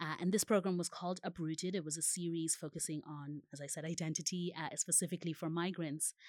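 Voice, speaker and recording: Her pitch fairly low, a woman talks at a very fast pace with hardly any pauses and a monotone, flat intonation. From Zimbabwe and Ireland. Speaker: refugee youth activist. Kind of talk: panel discussion. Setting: conference. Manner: halting, many fillers.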